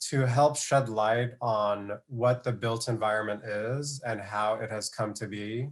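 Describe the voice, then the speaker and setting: An unremarkable speaking voice from a man with an American accent, fairly slow and fairly even in intonation, on a very clean recording with a silent background. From Glendale, California. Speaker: urban planner and activist. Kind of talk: panel discussion.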